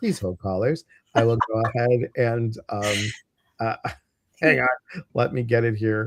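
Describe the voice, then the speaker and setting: A man with an American accent and a medium pitch. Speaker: spiritual teacher and livestream host. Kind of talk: casual livestream chat. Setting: online livestream.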